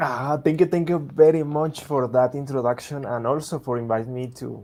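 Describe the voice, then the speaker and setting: A man speaks in a Spanish accent with a dark, mellow tone. His pitch varies in an ordinary way. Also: fairly high pitch for a man, moderate pace. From Latin America. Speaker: software engineer and developer advocate. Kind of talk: technical presentation. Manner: halting, many fillers.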